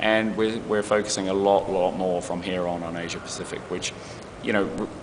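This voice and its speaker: A man with a New Zealand accent talks at a moderate pace, fairly low in pitch and fairly even in intonation, with audible room echo and noticeable background noise. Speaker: advertising creative executive. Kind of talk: interview. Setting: festival interview.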